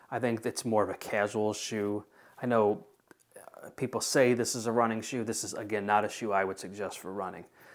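Against a quiet background, a man with a fairly low pitch speaks at a fairly quick pace in a monotone, flat intonation. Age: 40s. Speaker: shoe reviewer; product reviewer. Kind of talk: product review; casual review talk. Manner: casual, with many filler words. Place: home room.

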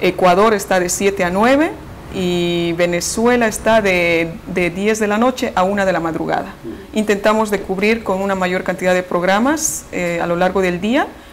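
Over light background noise, a woman talks at a moderate pace with ordinary pitch variation. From Bolivia. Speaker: radio station director. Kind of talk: interview answer. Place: office. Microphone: lapel.

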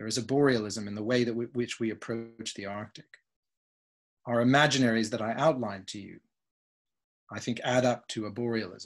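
This man has a normal speaking voice and a fairly quick pace. His intonation is fairly even, over a quiet background. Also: medium pitch for a man, big swings in loudness. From Canada. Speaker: philosopher, guest lecturer; guest lecturer. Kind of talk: lecture. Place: home room. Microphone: video call.

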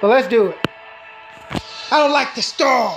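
Clear music plays in the background. The speaker uses a put-on character voice with a high pitch. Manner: menacing.

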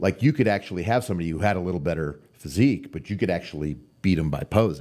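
Very fast speech with an American accent, very wide pitch swings, vocal fry, and a dark, mellow tone over a quiet background. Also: man. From Arizona, US (Tucson); Arizona. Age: 50s. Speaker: professional bodybuilder; podcast guest. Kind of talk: casual chat. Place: studio. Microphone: studio mic.

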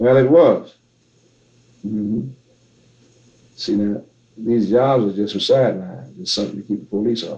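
Here a man speaks with an American accent in a dark, mellow tone at a moderate pace. There are long, frequent pauses, ordinary pitch variation and big swings in loudness. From Tennessee and Arkansas, US South. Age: 70s. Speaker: blues musician. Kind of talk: interview answer.

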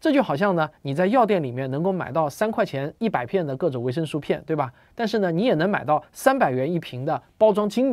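A man talks at a very fast pace, his pitch swinging very widely. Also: quiet background. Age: 40s. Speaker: science popularizer. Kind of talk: monologue explainer video. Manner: casual, filler-heavy. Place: home room.

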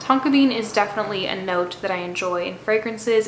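The speaker is a woman. Light background noise and audible room echo are present. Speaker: perfume youtuber. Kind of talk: casual review vlog chat. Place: home room.

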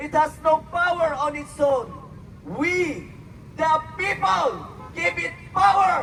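Against noticeable background noise, a man with an extremely high pitch speaks at a very slow pace with ordinary pitch variation. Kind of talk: rally speech reading out patriotic quotes in English, like a prepared oration. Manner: formal, measured, declamatory, delivered with solemn oratorical emphasis.

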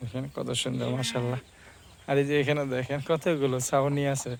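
Over noticeable background noise, a man speaks in a flat monotone at a fairly high pitch. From Bangladesh, Brahmanbaria (Bancharampur). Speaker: village vlogger. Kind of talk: vlog walk-and-talk. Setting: outdoors. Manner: casual.

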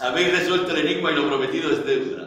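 Strong room echo surrounds a man speaking very fast. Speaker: actor reading a letter in a performance. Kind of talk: dramatic reading of a letter.

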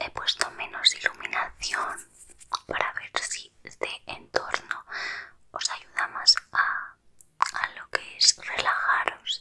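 A woman whispers at a very slow pace. Her loudness swings widely. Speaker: ASMR creator. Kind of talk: soft whispered ASMR chat. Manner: soft close-mic ASMR murmur. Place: home room. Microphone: studio mic.

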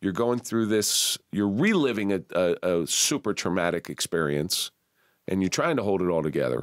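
An ordinary speaking voice with an American accent delivers lively intonation at a moderate pace and very even loudness, recorded dry and close with no echo. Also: man, fairly low pitch for a man. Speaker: podcast host. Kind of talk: casual interview. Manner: jokey, laughs often.

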